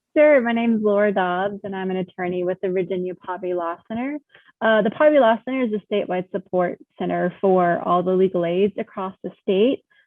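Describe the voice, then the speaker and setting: A woman with an American accent talks in an ordinary speaking voice at a fairly quick pace, medium in pitch with ordinary pitch variation. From North Carolina, Monroe. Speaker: attorney. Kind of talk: panel discussion.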